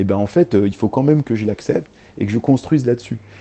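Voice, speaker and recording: Speaking at a fairly quick pace, a man has a dark, mellow tone, a medium pitch and ordinary pitch variation. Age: 30s. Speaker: journalist and author. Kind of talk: interview.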